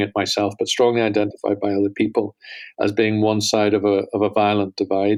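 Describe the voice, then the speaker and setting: The man speaks in a fairly low pitch with a Northern Irish accent. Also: very clean recording, silent background. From Northern Ireland. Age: 50s. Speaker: holocaust studies center director. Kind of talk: podcast interview.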